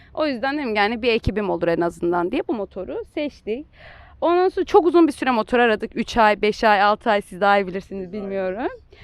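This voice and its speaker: Recorded with a dry, close sound and no echo, a woman speaks at a fairly quick pace in a fairly high pitch with very wide pitch swings. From Turkey. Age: 20s. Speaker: motorcyclist and engineer. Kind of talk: casual interview.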